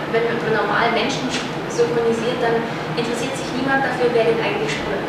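A woman talks at a moderate pace over loud background noise, with audible room echo. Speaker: voice actor (dubbing). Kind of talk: interview answer. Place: meeting room. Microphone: camera far.

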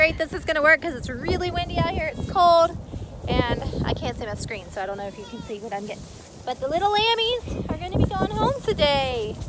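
A woman at a fairly quick pace, loud background noise behind her, the sound dry with no echo. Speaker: farm vlogger. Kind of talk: casual vlog chat. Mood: warm, a bit bittersweet. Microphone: phone near.

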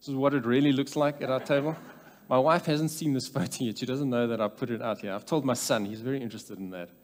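A man's very fast pace, pitch varying in an ordinary way. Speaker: speaker. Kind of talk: conference talk. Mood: light humorous opening. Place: church. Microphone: headset.

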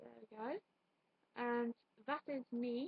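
In a dry recording with no echo, a woman speaks in a flat, monotone way. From United Kingdom. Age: 20s. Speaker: YouTuber. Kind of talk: casual vlog monologue. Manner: rambling, halting. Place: home room. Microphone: webcam.

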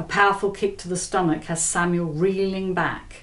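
At a fairly slow pace, a woman talks. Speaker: author reading from own novel. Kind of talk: audiobook-style thriller reading. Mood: tense suspenseful narration. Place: home room.

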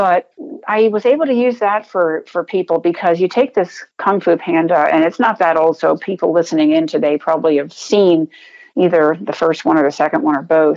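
A woman with an American accent uses an ordinary speaking voice, pitched fairly low, with lively intonation. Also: moderate pace. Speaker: retired coast guard vice admiral. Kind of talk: interview answer.

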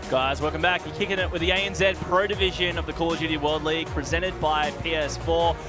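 A man talks at a very fast pace. The sound is dry with no echo, and clear music plays in the background. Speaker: esports host and commentator. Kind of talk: esports broadcast commentary. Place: studio. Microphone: headset.

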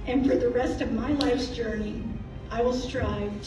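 A woman speaks at a high pitch with fairly even intonation. The recording has noticeable background noise and audible room echo. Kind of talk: memorial speech. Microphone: camera far.

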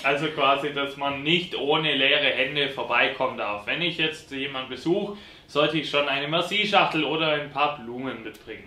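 Through noticeable background noise, a man speaks at a fairly high pitch. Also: ordinary pitch variation, moderate pace. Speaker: quiz host. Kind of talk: game show hosting.

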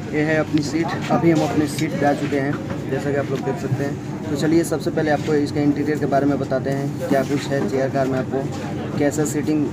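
A man at a moderate pace, with loud background noise. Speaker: travel vlogger. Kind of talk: casual vlog chat. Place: train. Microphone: phone near.

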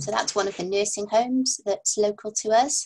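Speaking in a North Welsh accent, a woman talks at a moderate pace with a dark, mellow tone that is somewhat breathy. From North Wales. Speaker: palliative care doctor. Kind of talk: webinar lecture. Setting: video call. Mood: friendly, relaxed. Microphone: webcam.

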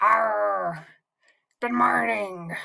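This put-on character voice sits at a middle pitch and swings very widely up and down. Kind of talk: greeting, friendly. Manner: playful, growling.

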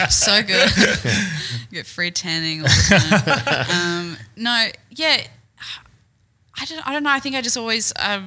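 A woman with an Australian accent speaks with long, frequent pauses and very wide pitch swings. The background is quiet. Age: young. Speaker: stand-up comedian. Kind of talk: podcast interview answer. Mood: relaxed, laughing, hesitant. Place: studio. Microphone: studio mic.

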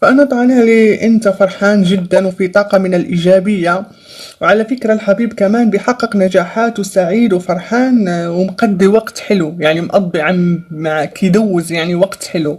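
Delivered at a moderate pace with hardly any pauses, the speech has ordinary pitch variation. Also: woman. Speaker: tarot reader. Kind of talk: tarot reading. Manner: hesitant with many fillers. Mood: upbeat, encouraging. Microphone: phone near.

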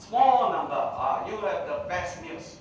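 Heard at a fairly slow pace, the voice carries strong room echo over light background noise. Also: man. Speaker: public speaker. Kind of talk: lecture. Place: hall.

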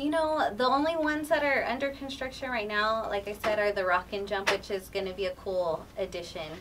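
Against clear background noise, a woman talks at a fairly quick pace with fairly even intonation.

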